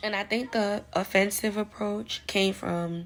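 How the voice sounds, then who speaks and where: With a New York accent, a woman speaks at a moderate pace using lively intonation. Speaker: vlogger giving advice. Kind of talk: casual monologue vlog.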